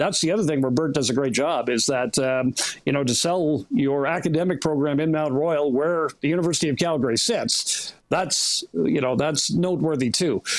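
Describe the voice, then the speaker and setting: A man with an unremarkable speaking voice talks at a moderate pace, pitched fairly high and varying in pitch in an ordinary way. His loudness stays very even, and he hardly pauses. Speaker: play-by-play sports broadcaster. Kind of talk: radio interview answer.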